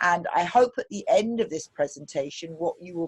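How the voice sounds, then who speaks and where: The speaker uses a fairly slow pace with ordinary pitch variation. The voice comes with a British accent. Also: woman, dry, close sound with no echo. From UK. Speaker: pediatrician. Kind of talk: presentation intro. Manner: hesitant with fillers.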